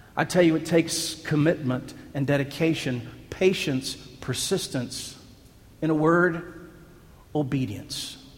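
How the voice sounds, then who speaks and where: A man with a fairly high pitch talks at a fairly slow pace, leaving long, frequent pauses. His intonation stays fairly even, and the room echo is audible. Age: 40s. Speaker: pastor. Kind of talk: sermon.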